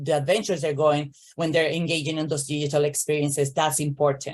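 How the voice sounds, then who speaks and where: The speaker is a woman. She talks at a fairly quick rate. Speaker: early childhood education consultant. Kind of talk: webinar presentation. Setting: online webinar. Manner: fast.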